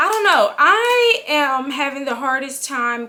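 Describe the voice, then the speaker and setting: A woman is speaking. Her tone is animated. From California. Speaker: book vlogger. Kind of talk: casual vlog. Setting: home, filming on camera. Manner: loud, projected.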